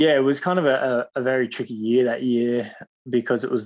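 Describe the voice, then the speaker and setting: A man with an Australian accent speaks at a moderate pace against a quiet background. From Australia, Cronulla (Sydney). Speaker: professional surfer. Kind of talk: interview.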